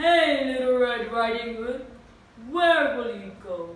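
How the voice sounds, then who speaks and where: A put-on character voice speaks at a fairly high pitch and a fairly slow pace. There is slight echo. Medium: read story.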